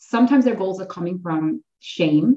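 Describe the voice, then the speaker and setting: Somewhat breathy and dark, mellow in tone, a woman speaks with lively intonation. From Ontario, Canada. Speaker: massage therapist and somatic coach. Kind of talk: casual chat.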